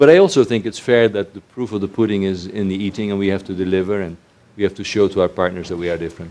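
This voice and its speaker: With a dark, mellow tone, a man speaks at a very fast pace, his fairly low pitch held to fairly even intonation. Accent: Dutch. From Netherlands. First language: Dutch. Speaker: research organization chief executive. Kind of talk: panel conversation.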